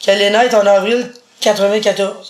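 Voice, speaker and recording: A woman speaks with a Quebec accent. Noticeable background noise runs underneath. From Quebec, Montreal. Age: 40s. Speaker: blind interviewee. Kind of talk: casual interview.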